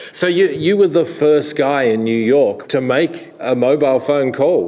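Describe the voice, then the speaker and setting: A man talks at a fairly high pitch with ordinary pitch variation and very even loudness. There is noticeable background noise. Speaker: documentary executive producer and interviewer. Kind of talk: interview questions.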